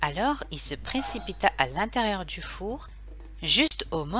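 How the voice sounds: Natural voice, reading aloud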